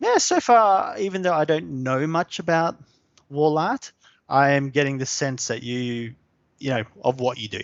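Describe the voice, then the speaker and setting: Lively intonation carries this man's voice. He has a fairly high pitch and an Australian accent. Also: moderate pace. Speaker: SEO specialist. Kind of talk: live webinar tutorial. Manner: casual, hesitant with fillers.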